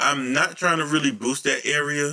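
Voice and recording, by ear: A man speaks at a moderate pace with fairly even intonation. His voice is fairly high-pitched, with a bright, sharp tone.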